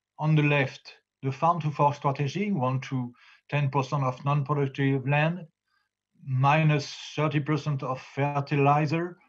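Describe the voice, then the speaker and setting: With a French accent, a man speaks at a moderate pace in a fairly high, somewhat breathy voice with monotone, flat intonation, over a quiet background. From France, Normandy. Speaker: farmer and farm union leader. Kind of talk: conference presentation. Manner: halting, many hesitations.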